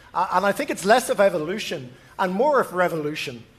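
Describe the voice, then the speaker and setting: A man with an Irish accent, high-pitched, with lively intonation and a fairly quick pace. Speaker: panel moderator. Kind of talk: moderated panel discussion. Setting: stage with live audience. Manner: halting, many fillers.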